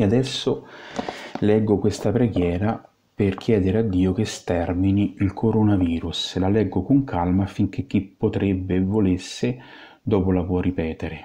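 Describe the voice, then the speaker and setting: A man with a fairly low, somewhat breathy voice speaks at a fairly slow pace in a solemn, intense tone, keeping fairly even intonation and very even loudness. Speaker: exorcist priest. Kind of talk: fervent prayer of liberation, invocation and litany, commanding the virus in God's name. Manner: solemn, intense, commanding, emphatic and ardent; earnest, slow and rhythmic in the litany.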